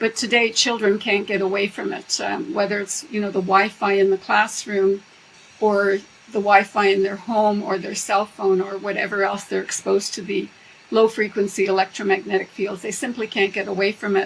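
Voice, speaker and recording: Over noticeable background noise, a woman of medium pitch talks at a moderate pace with fairly even intonation. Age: 70s. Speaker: professor emerita and EMF researcher. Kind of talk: interview.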